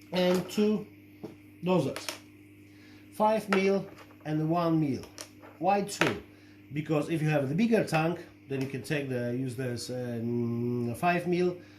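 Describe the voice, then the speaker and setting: Amid noticeable background noise and audible room echo, a man with a fairly high pitch speaks at a very slow pace. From Poland. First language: Polish. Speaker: shrimp-keeping hobbyist and video creator. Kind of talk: product review tutorial. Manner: halting, many fillers.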